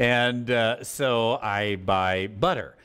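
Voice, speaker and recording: A man with an American accent speaks against a quiet background. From United States. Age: 50s. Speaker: Bible teacher. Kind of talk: Bible study lecture. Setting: live class with audience. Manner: halting. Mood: relaxed, humorous teaching. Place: church. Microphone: lapel.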